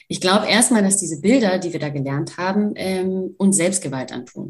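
A fairly low-pitched, somewhat breathy woman's voice at a moderate pace, with ordinary pitch variation. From Germany, Kurdish-German family. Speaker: nonviolent communication practitioner, political science student. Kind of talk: interview conversation.

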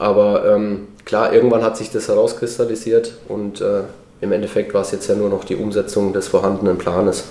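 Moderately paced speech from a man, with noticeable background noise behind it. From Lower Franconia, Germany (Würzburg area). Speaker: former professional footballer. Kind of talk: casual interview.

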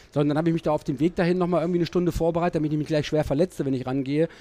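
A man talks at a very fast pace in a fairly high voice with a dark, mellow tone and fairly even intonation. The sound is dry and close, with no echo. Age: 60s. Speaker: TV sports commentator. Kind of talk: casual chat. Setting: studio.

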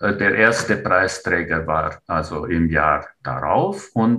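Lively intonation and a bright, sharp tone mark this man's very deep, low voice. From Romania, Transylvania (Transylvanian Saxon). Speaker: writer and retired teacher. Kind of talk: interview. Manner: hesitant, frequent filler sounds.

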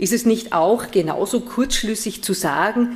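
A woman with a Viennese accent at a fairly slow pace. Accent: Austrian (Viennese). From Vienna, Austria. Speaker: theology professor. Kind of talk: lecture.

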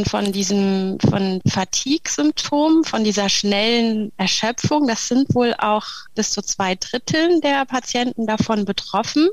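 Fairly high-pitched woman's voice, very slow yet with hardly any pauses, ordinary pitch variation, on a very clean recording with a silent background. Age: 40s. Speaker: speech therapist and breathing therapist. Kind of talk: interview. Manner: hesitant, many fillers.

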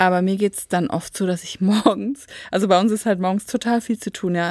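A woman with an unremarkable speaking voice talks at medium pitch and a moderate pace on a very clean, dry, close recording with no echo and a silent background. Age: 40s. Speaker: podcast co-host, school support worker. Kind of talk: casual chat.

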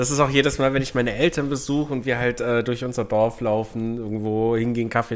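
A man talks at a fairly quick pace with hardly any pauses, in a medium pitch and fairly even intonation. He has a plain, everyday voice. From Bavarian Swabia (Unterallgäu), Germany. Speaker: podcast co-host. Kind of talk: casual chat. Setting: same room with co-host.

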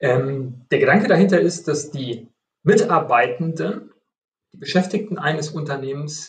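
A man speaks at a moderate pace with a fairly high pitch, a somewhat breathy quality and ordinary pitch variation. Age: 50s. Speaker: IT company executive. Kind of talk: interview.

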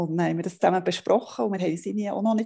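Over a quiet background, a woman speaks at a fairly low pitch with vocal fry and a dark, mellow tone. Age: 40s. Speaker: family blogger. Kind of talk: interview.

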